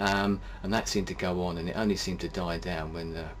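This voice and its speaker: A man with a British accent speaks very fast, his pitch very deep and low with very wide swings. Audible room echo and noticeable background noise fill the recording. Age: 40s. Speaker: video blogger. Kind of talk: personal monologue. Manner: hesitant, many fillers.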